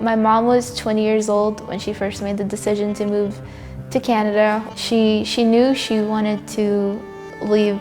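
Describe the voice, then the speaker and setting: With music in the background, a woman talks at a medium pitch and a fairly slow pace, her pitch varying in an ordinary way. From Vancouver, Canada. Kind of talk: interview answer.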